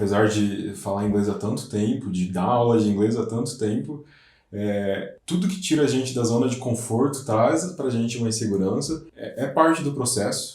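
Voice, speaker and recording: An audible room echo surrounds a man who speaks at a moderate pace and medium pitch, his voice somewhat breathy and his intonation lively. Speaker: English teacher. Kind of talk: casual chat.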